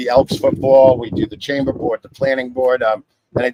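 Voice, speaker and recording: In a New York accent, a man talks at a fairly quick pace with a dry, close sound and no echo. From New York City. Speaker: title insurance agent. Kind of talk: live show interview. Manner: talks with his hands, animated.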